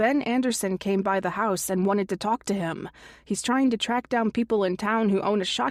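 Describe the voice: Here is plain reading aloud. Its pitch shifts in an ordinary way.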